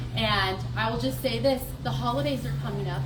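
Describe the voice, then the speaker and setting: Loud and with very wide pitch swings, a woman talks at a moderate pace amid noticeable background noise and audible room echo. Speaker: nonprofit leader. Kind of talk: fundraising speech.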